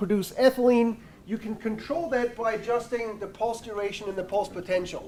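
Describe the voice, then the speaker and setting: This man talks at a fairly quick pace, his high-pitched voice keeping a fairly even intonation. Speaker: university researcher. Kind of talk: seminar presentation. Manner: loud.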